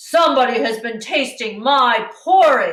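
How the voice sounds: A put-on character voice from a woman, high-pitched and at a fairly slow pace.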